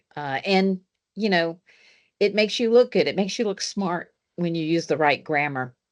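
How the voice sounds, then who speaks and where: Against a quiet background, a woman with a Southern US accent speaks at a fairly low pitch with ordinary pitch variation. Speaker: engineering professor. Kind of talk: panel discussion.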